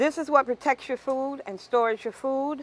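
A woman's high-pitched voice comes through with a dry sound and no echo. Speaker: cooking workshop instructor. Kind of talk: tutorial. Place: kitchen.

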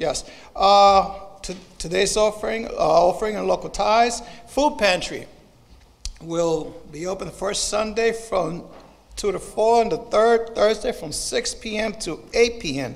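Ordinary pitch variation marks a man's high-pitched voice. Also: fairly slow pace. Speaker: announcer. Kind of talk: announcements. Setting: church. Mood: warm, lightly joking. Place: church. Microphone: podium.

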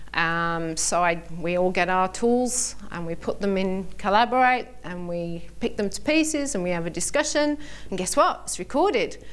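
A woman with a British accent at a moderate pace, with very wide pitch swings and hardly any pauses. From Britain. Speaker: vocational lecturer. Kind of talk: conference workshop presentation. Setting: stage with audience. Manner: animated. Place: hall. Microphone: podium.

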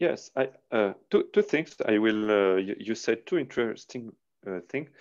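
A man with a French accent speaks at a moderate pace, his pitch swinging very widely against a quiet background. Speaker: aikido interviewer. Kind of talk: interview. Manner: halting. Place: home room. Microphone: earbuds.

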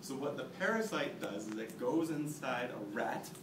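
A man talks at a fairly slow pace, and background noise is noticeable. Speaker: presenter. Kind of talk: class presentation. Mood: mock-serious, humorous. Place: classroom. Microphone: camera far.

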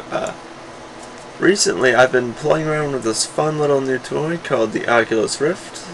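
Noticeable background noise runs under the clip. A man speaks at a fairly slow pace. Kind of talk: casual tutorial talk. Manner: hesitant, many filler sounds.

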